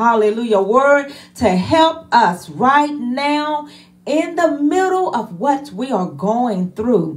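At a very slow pace, a woman speaks at a high pitch with very wide pitch swings. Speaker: church minister introducing the preacher. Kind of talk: worship service opening welcome and introduction. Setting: church service livestreamed online. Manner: fervent, punctuated with hallelujahs. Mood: warm, fervent.

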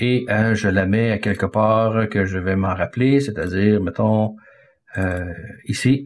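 At a very slow pace, a man talks with fairly even intonation and a fairly low pitch. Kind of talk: tutorial. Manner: halting, with repeated words and fillers.

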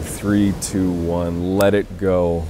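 The recording of this man has a dry sound with no echo and noticeable background noise. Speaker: meditation guide. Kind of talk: guided meditation. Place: beach.

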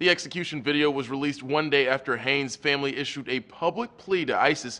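A man speaks at a very fast pace. His pitch is fairly high, with ordinary pitch variation. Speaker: news reporter. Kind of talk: news report narration. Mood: serious, measured. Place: studio.

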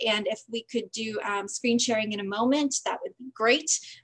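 Against a quiet background, a woman with an American accent uses an unremarkable speaking voice at fairly high pitch and a moderate pace. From Green Bay, Wisconsin; Wisconsin. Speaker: voting advocacy group organizer; presenter. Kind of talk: presentation. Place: home room. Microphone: video call.

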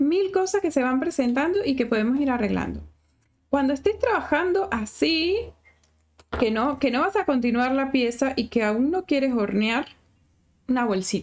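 A woman with a high pitch and a warm tone speaks at a moderate pace, with very wide pitch swings and very even loudness. She leaves long, frequent pauses. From Venezuela. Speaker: sculpting teacher. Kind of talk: live-stream tutorial. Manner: chatty, warm. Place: home room.

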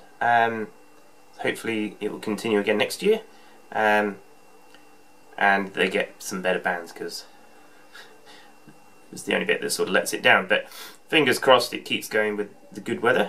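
At a moderate pace, a man speaks with long, frequent pauses and big swings in loudness. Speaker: home brewer vlogger. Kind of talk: casual vlog chat. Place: home room. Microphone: webcam.

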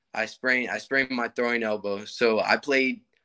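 In a bright, sharp tone, a man talks at a moderate pace with fairly even intonation over a quiet background. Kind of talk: interview answer. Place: home room. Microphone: video call.

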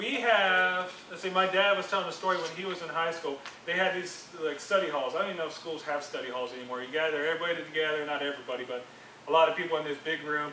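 A man talks at a very fast pace. The room echo is audible, with light background noise. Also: ordinary pitch variation. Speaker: youth group teacher. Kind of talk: sermon. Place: classroom. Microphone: camera far.

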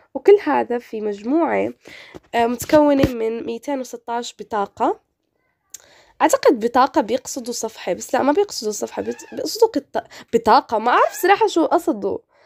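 Speaking at a fairly slow pace, a woman with a high pitch sounds animated, her intonation lively and the sound dry and close with no echo. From Morocco. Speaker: gaming youtuber. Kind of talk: casual gameplay commentary.

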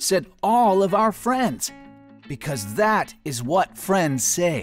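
Music plays in the background as a man speaks at a very slow pace. His pitch is high, with very wide swings. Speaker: professional voice actor. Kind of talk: storybook narration.

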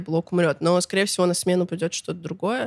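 A woman speaks at a fairly low pitch. The background is quiet and the sound is dry with no echo. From Russia, Chita (Siberia); Russia. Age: 20s. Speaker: musician, blogger and festival organizer; blogger. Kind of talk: casual interview chat. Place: studio. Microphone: studio mic.

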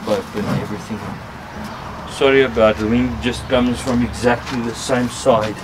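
Fairly even intonation from a man at a moderate pace, with noticeable background noise. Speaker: outdoor gear vlogger. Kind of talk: tutorial. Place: garden. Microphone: camera far.

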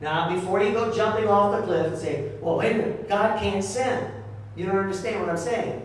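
A man talks at a moderate pace with a high pitch and ordinary pitch variation. Strong room echo fills the recording. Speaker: pastor. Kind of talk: sermon. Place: church.

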